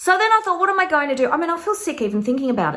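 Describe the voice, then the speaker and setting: The voice is animated, with an Australian accent and a very fast pace. Its pitch swings very widely. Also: woman. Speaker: tarot teacher and online course creator. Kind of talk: casual vlog monologue.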